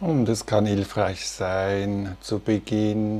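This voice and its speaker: A man talks at a very slow pace in a fairly low, monotone voice with flat intonation. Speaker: meditation teacher. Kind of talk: guided meditation. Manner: slow, calm and soothing, with long pauses between instructions.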